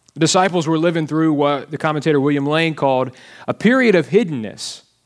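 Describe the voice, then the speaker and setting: This man has a Southern US accent. His pitch is fairly high. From Alabama. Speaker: pastor. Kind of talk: sermon. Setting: church.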